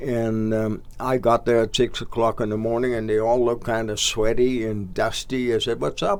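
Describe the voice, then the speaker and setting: At a moderate pace, a man with a Dutch accent speaks at medium pitch with fairly even intonation. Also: hardly any pauses. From Netherlands. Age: 80s+. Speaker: local sports organizer. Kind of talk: casual interview. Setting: studio.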